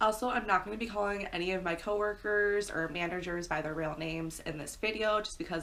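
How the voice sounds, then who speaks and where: A woman with an American accent, fairly quick pace and ordinary pitch variation. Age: 20s. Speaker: pet YouTuber. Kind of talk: story time monologue. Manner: fast; casual, chatty.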